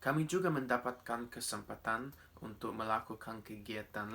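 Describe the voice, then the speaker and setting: A man talks in an English accent. His tone is bright and sharp, at medium pitch. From Australia (Coffs Harbour, New South Wales). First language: English (speaking Indonesian). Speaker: speech contest winner. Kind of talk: prepared speech. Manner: formal.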